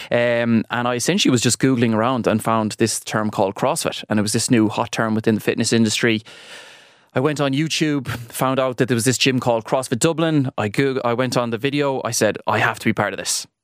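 Fairly even intonation in an Irish accent. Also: man, medium pitch for a man, fairly quick pace. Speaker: fitness trainer and gym owner. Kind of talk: radio interview. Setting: radio studio.

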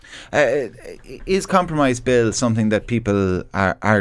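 The recording is very clean, with nothing heard in the silent background. A man talks in an Irish accent. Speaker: radio host. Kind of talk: radio talk show discussion. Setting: studio.

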